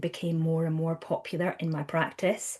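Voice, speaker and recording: In a Scottish accent, a woman with a fairly low pitch and a dark, mellow tone speaks at a fairly slow pace. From Scotland. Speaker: counsellor and trainer. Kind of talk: podcast interview. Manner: conversational, many fillers.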